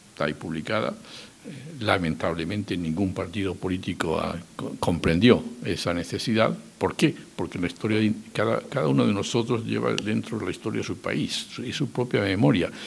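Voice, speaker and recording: Very wide pitch swings run through speech delivered at a moderate pace. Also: man, very deep, low pitch for a man. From Spain. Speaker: political scholar and former government adviser. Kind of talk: public talk. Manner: halting, with self-corrections.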